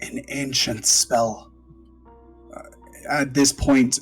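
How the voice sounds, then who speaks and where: Using a put-on character voice at a medium pitch, a man speaks at a very slow pace with fairly even intonation while faint music plays in the background. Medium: actual play. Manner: formal, measured.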